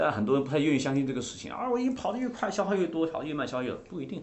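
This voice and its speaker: This voice moves through very wide pitch swings and carries vocal fry. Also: man. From coal mining area in China, rural. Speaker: fitness coach and trainer of coaches. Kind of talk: interview chat about fitness. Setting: podcast studio.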